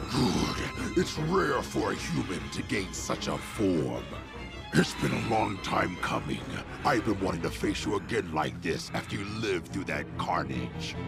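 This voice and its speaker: Over loud music in the background, a man puts on a character voice with a very deep, low pitch and talks at a moderate pace. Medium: fan dub. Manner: grave, commanding.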